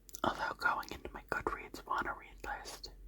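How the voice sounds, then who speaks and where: Whispering comes through amid noticeable background noise. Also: woman. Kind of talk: ASMR book tag talk. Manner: soft-spoken.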